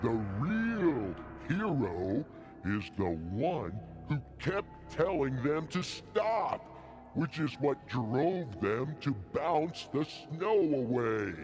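Very slow speech at very even loudness, with clear music in the background. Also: man, fairly high pitch for a man. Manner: complaining, accusing, cranky.

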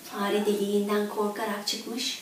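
Strong room echo surrounds a woman speaking in a monotone, flat intonation. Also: medium pitch for a woman, fairly slow pace.

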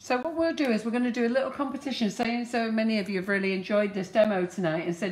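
Talking at a very fast pace with hardly any pauses, a woman with a British accent uses lively intonation over noticeable background noise. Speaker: cake decorating channel host. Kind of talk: live baking demonstration. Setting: studio kitchen, live stream. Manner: chatty.

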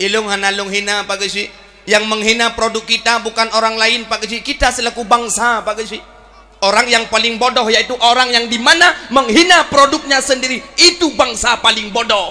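A man speaks in a raised, projected voice at an extremely high pitch and a moderate pace. His tone is animated, with ordinary pitch variation. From Aceh, Indonesia. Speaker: Islamic preacher. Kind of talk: sermon. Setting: religious event with audience. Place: stage. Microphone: handheld.

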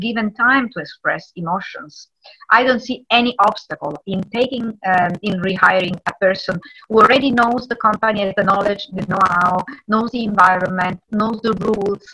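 A woman speaks at a moderate pace in a medium pitch, her tone bright and sharp, with ordinary pitch variation.

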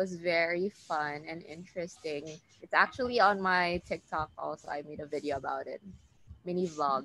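Heard dry with no echo, a woman speaks at a moderate pace in a fairly low pitch, with a bright, sharp tone and ordinary pitch variation. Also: big swings in loudness. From Philippines, Davao City. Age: 20s. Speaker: content creator and entrepreneur. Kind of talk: casual interview. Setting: video call. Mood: relaxed, friendly. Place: garden. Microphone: video call.

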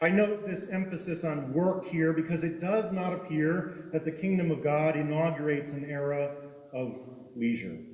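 A man talks at a moderate pace. There is audible room echo. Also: ordinary pitch variation. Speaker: preacher. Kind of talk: sermon. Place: church. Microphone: podium.

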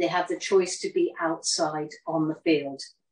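A woman speaks with fairly even intonation. Room echo is audible. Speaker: horse-assisted practitioner; workshop facilitator. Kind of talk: introduction and guidance to participants; talk to an online audience. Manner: calm, gentle, halting. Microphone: phone near.

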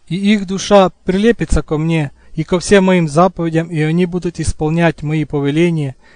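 High-pitched man at a moderate pace, fairly even intonation, quiet background. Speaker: audiobook narrator. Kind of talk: reading aloud.

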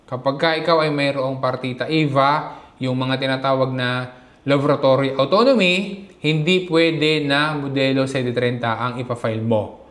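A man with a fairly high pitch speaks at a fairly slow pace. The recording has audible room echo and noticeable background noise. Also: ordinary pitch variation. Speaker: vlogger. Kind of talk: tutorial.

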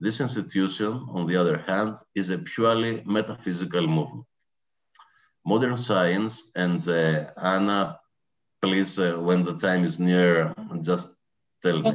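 A man with a Greek accent and a very deep, low pitch, at a fairly slow pace with long, frequent pauses against a quiet background. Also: ordinary pitch variation. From Greece. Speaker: professor. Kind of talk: lecture. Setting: video call. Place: home room. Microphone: video call.

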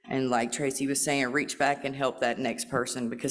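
Her pitch very deep and low, a woman talks in a monotone with flat intonation. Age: 40s. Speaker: recovery program participant. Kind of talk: testimony. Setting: stage with audience. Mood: earnest, emotional. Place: hall. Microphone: podium.

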